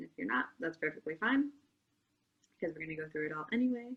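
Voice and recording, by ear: Her intonation is lively. This woman's voice carries a slightly husky edge.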